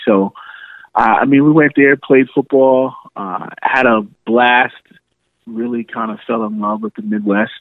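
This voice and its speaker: Here is a man with an ordinary speaking voice. He talks at a moderate pace and medium pitch. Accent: American. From New York City. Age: 30s. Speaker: podcaster. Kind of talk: casual chat.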